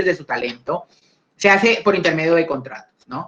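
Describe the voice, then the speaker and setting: A man speaks at a moderate pace. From Colombia. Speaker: lawyer, intellectual property lecturer. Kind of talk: online talk / conversational lecture. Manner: hesitant, frequent fillers and repetitions.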